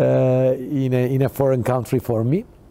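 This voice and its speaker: Fairly slow speech in a Turkish accent. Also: man. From Turkey. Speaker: company CEO. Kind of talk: TV talk show interview. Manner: halting.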